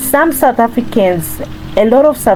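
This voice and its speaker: A woman's voice with music in the background. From Zimbabwe. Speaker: cooking vlogger. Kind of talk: cooking tutorial vlog.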